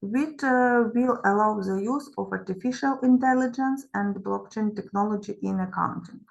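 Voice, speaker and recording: A woman with a Ukrainian accent, fairly high pitch and ordinary pitch variation at a moderate pace, with music in the background. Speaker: professor. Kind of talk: conference presentation.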